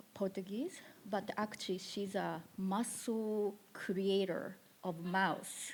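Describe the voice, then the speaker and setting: In a Japanese accent, a woman with a medium-pitched voice speaks at a very slow pace. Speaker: musician and producer. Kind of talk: panel discussion. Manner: halting.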